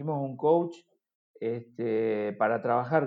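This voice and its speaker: A man's voice at medium pitch. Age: 50s. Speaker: football sporting director and former player. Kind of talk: interview conversation. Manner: halting, many repeated words.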